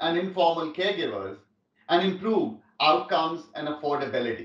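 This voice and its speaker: A man talks at a moderate pace, and audible room echo hangs around his voice. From India. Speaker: tech company executive. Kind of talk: keynote speech. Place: home room.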